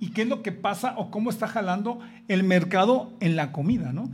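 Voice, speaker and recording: Music in the background behind a moderate pace and ordinary pitch variation. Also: man. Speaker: chef and guest co-host. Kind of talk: casual chat.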